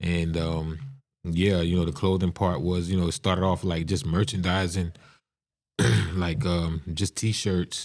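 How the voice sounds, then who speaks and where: In a very clean recording with a silent background, a man with a very deep, low pitch and an American accent speaks at a fairly slow pace with fairly even intonation. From South Carolina, rural Lowcountry (Estill). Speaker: music studio owner and entrepreneur. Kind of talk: podcast interview.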